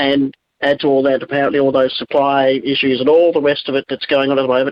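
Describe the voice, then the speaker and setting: The speech comes at a very fast pace. It carries an Australian accent. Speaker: talkback caller. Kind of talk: talkback call. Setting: phone call.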